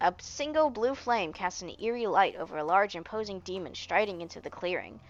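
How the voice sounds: A natural reading voice carries the text with lively intonation.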